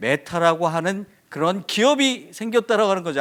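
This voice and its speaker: On a very clean recording with a silent background, a man with a high pitch speaks in an animated tone with lively intonation at a fairly quick pace. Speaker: professor. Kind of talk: conference talk. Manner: fast.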